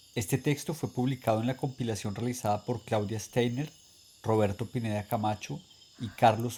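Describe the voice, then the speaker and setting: Medium in pitch, a man's voice carries a dark, mellow tone that is somewhat breathy. His intonation is fairly even and his pace moderate. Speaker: reader. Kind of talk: literary reading aloud.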